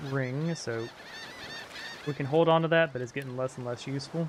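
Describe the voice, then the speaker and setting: Noticeable background noise sits behind a fairly quick delivery with fairly even intonation. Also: man. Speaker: video game streamer. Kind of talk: live game stream commentary. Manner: casual, hesitant with fillers.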